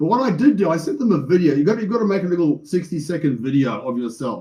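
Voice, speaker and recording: Very wide pitch swings mark a man's high voice, which has a dark, mellow tone and a very fast pace. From South Africa. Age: 60s. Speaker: reality TV contestant. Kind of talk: interview. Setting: video call. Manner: animated.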